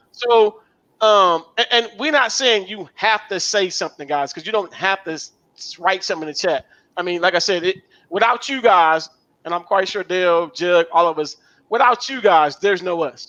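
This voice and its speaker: A man's raised, projected voice, high in pitch, with a bright, sharp tone and ordinary pitch variation. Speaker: live show co-host. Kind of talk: casual live-stream chat. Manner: fast.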